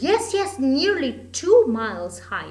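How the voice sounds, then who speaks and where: Putting on a character voice, a woman speaks high and at a fairly slow pace with very wide pitch swings. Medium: read story. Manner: imperious, shrill commands.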